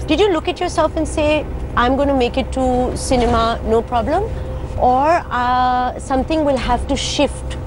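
A woman is speaking with noticeable background noise. The sound is dry, with no echo. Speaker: talk show host. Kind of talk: casual interview chat. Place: bus.

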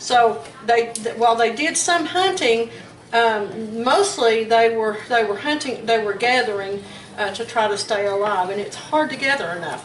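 In a Southern US accent, a woman with a fairly high pitch talks at a moderate pace with lively intonation, with audible room echo and light background noise. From US South. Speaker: home cooking video host. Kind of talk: cooking tutorial. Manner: casual with many fillers and hesitations. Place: kitchen. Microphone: camera far.

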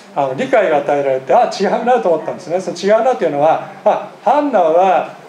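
With hardly any pauses, a man talks at a fairly quick pace in a high pitch with very wide pitch swings, amid audible room echo and light background noise. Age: 50s. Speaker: pastor. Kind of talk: sermon. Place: church. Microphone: podium.

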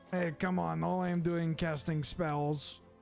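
Over clear music in the background, a man in a put-on character voice speaks at a moderate pace with a fairly high pitch.

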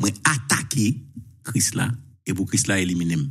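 A man with lively intonation and a somewhat breathy voice, at a moderate pace against a quiet background. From Haiti. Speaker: journalist. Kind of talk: live talk show. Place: home room. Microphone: lapel.

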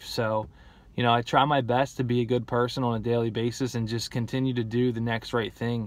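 A man with an American accent speaks at a medium pitch and a fairly quick pace in a monotone, flat way, the sound dry with no echo. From New Jersey (Gloucester City). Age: 20s. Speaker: person in addiction recovery. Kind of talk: personal testimony. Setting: in a car. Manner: casual, filler-heavy. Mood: calm, reflective. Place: car. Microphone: phone near.

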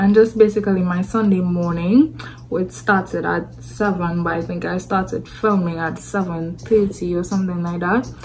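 At a moderate pace with hardly any pauses, a woman talks over light background noise. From Trinidad and Tobago. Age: young. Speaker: vlogger. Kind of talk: casual vlog talk to camera. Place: home room. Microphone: phone near.

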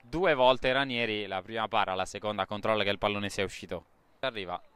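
An animated man with lively intonation and a bright, sharp tone, on a very clean recording against a silent background. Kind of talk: live sports commentary. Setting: football match commentary. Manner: animated, urgent, clipped phrases.

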